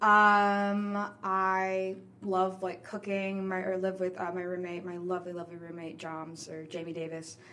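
In an American accent, a woman speaks at a medium pitch and a fairly slow pace, with audible room echo. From New Orleans, US. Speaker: actor and theater artist. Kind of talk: casual interview.

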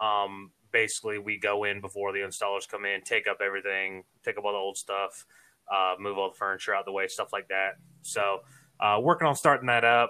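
A man with an American accent talks at a fairly quick pace and fairly low pitch in a bright, sharp tone. His intonation is fairly even, and the recording is very clean with a silent background. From Savannah, Georgia, US South. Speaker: sports podcaster and former athlete. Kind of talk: casual interview chat. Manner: talkative, sportscaster-style delivery.

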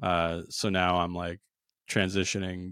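Recorded very cleanly with a silent background and a dry, close sound with no echo, a man speaks at a very slow pace. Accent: American. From New Jersey. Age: 40s. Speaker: comedian. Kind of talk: casual chat.

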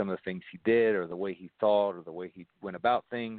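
Talking at a very fast pace, a man keeps his fairly low voice monotone, with flat intonation. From Louisville, Kentucky. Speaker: high school basketball coach. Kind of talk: interview.

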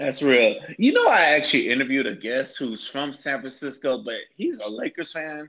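A man with an American accent speaks at a moderate pace and fairly high pitch. It is a normal speaking voice with ordinary pitch variation. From Florida. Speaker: podcast host. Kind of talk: casual interview.

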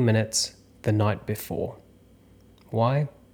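A man with an Australian accent speaks at a fairly slow pace and fairly low pitch in a monotone, flat intonation. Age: 30s. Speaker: actor and acting coach. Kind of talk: solo podcast monologue.

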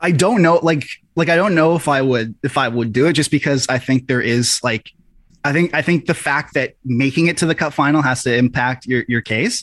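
In an unremarkable speaking voice, a man with a fairly high pitch talks at a fairly quick pace, with ordinary pitch variation, very even loudness and a dry, close sound with no echo. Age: 20s. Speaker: hockey writer and podcaster. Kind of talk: casual chat.

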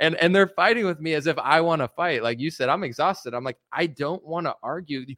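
A man with an American accent uses a normal speaking voice, fairly high in pitch with lively intonation. He talks at a fairly quick pace on a very clean recording with a silent background. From United States. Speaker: rapper and political commentator. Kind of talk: casual interview chat.

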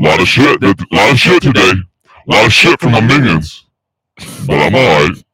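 Using a put-on character voice, a man speaks raspily at a medium pitch and a fairly slow pace, with very wide pitch swings. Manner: tired, weary.

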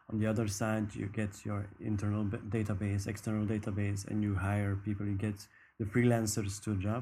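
A man's somewhat breathy, dark and mellow voice at a fairly quick pace, with monotone, flat intonation. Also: fairly low pitch for a man. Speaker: podcast co-host interviewer. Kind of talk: interview, casual chat.

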